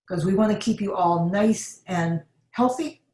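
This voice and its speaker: Somewhat breathy, a woman's voice moves with lively intonation. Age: 70s. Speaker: health educator. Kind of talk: webinar Q&A.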